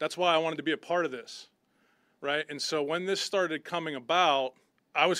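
With an American accent, a man speaks at a fairly high pitch with ordinary pitch variation and a bright, sharp tone, recorded very cleanly against a silent background. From western Pennsylvania, Butler. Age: 50s. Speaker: football head coach. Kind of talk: press conference.

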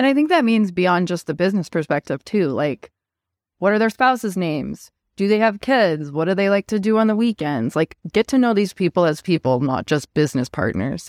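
Recorded very cleanly over a silent background, the sound is dry and close with no echo. A woman with an American accent talks at a fairly quick pace and medium pitch, her pitch swinging very widely. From Montana, US. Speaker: podcast co-host, partnerships professional. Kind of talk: casual chat.

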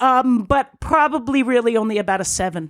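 A plain, everyday voice with an American accent speaks at a moderate pace with lively intonation. The recording is very clean, with a silent background. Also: woman. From southeastern Connecticut. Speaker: innkeeper. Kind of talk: casual chat.

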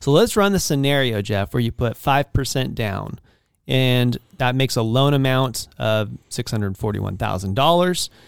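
Man with a medium pitch and lively intonation at a moderate pace, in a very clean recording with a silent background and a dry, close sound with no echo. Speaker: podcast host and real estate agent. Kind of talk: casual interview chat.

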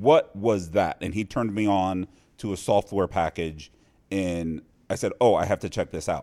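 Recorded very cleanly against a silent background, with a dry, close sound and no echo, a man with an American accent uses a plain, everyday voice, fairly low in pitch, at a moderate pace with ordinary pitch variation. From US Midwest, Cincinnati, Ohio. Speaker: poker player and vlogger. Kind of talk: casual chat. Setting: studio.

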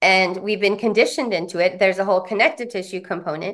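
A woman with an American accent talks at a fairly quick pace in a plain, everyday voice. Her pitch is medium with ordinary variation, and the background is quiet. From US West Coast, San Diego. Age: 40s. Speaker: trauma recovery practitioner and author. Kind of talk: interview, life story.

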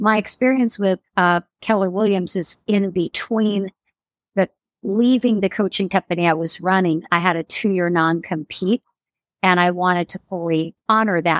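In a very clean recording with a silent background and a dry, close sound with no echo, a woman with an unremarkable speaking voice talks at a moderate pace, her medium pitch carrying fairly even intonation. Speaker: real estate coach and former agent. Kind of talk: casual interview conversation.

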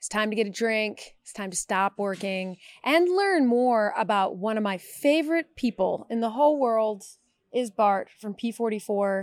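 A woman talks in an animated tone at a moderate pace, with big swings in loudness. The recording is very clean, dry and close, with no echo and a silent background. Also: lively intonation. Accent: New York. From New York. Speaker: podcast host. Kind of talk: casual chat. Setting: at a bar or event venue.

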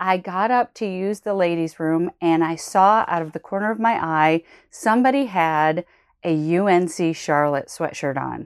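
Talking at a moderate pace in an unremarkable speaking voice, a woman with a fairly low pitch uses ordinary pitch variation. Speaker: college admissions podcast host. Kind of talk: solo podcast monologue. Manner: casual, conversational with fillers.

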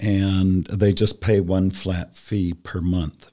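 The voice carries a dark, mellow tone. It comes with an American accent. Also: man. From Columbus, Ohio. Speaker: industry council staff member. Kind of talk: casual interview chat.

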